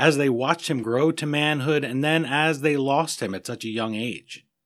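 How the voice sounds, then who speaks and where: In an American accent, a man with a plain, everyday voice speaks at a fairly high pitch and a moderate pace, his pitch varying in an ordinary way. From United States. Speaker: podcast host. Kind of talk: interview.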